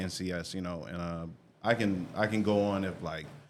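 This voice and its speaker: Fairly even intonation comes through with audible room echo. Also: man. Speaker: music artist and producer. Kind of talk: casual interview. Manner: fast.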